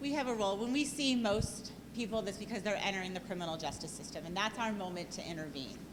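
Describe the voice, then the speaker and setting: With hardly any pauses, a woman at medium pitch speaks very fast amid noticeable background noise and audible room echo. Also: lively intonation. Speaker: political candidate. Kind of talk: debate. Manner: loud.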